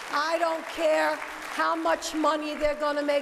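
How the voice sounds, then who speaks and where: A woman speaks in a high voice over noticeable background noise. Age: 70s. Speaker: resident speaking at public hearing. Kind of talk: public comment.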